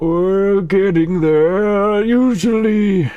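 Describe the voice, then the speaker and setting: A man's put-on character voice, pitched high. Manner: gently encouraging.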